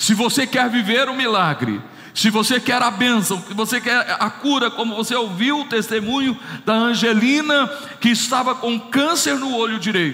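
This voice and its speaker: Over noticeable background noise, a raised, projected voice talks at a moderate pace with fairly even intonation. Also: man. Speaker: pastor. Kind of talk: sermon.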